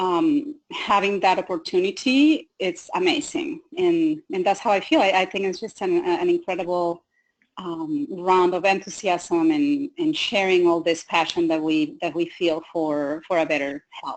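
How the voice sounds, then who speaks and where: Speaking at a fairly slow pace, a woman with a Spanish accent has a medium pitch. Her pitch swings very widely. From Mexico. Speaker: health coach. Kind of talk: webinar panel discussion.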